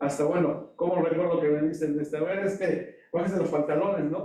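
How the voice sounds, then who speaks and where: The speaker uses a normal speaking voice, moving at a fairly quick pace with ordinary pitch variation. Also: man. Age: 60s. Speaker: audience member asking a question. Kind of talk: audience question at a lecture.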